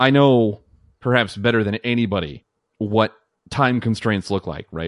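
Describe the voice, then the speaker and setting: A man at a fairly low pitch and moderate pace, ordinary pitch variation, quiet background, and a dry, close sound with no echo. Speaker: guest podcast co-host. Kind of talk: casual chat.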